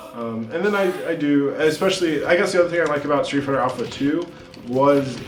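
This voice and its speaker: A man with a fairly high pitch and ordinary pitch variation is heard through audible room echo and noticeable background noise. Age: 30s. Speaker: high school English teacher. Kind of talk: casual interview chat. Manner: casual, many fillers.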